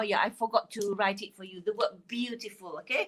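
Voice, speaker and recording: A woman speaks in a Malaysian accent at a fairly high pitch. Her tone is bright and sharp. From Malaysia, Kelantan. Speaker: phonics teacher. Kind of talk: live online lesson. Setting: Facebook live stream. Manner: hesitant, many fillers.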